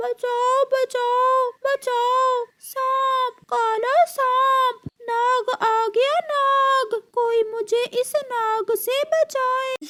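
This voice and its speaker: The speaker uses a put-on character voice and talks at a very slow pace. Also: woman, extremely high pitch for a woman. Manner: shouting in panic.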